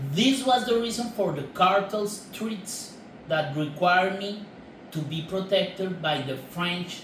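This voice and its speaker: A man with a Colombian accent and a high voice, lively intonation, noticeable background noise and audible room echo. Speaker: filmmaker. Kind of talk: prepared statement to camera. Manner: formal.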